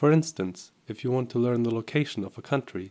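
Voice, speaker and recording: With a German accent, a man speaks at a moderate pace in a medium pitch with ordinary pitch variation, on a very clean recording with a silent background. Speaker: software tutorial presenter. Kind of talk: tutorial.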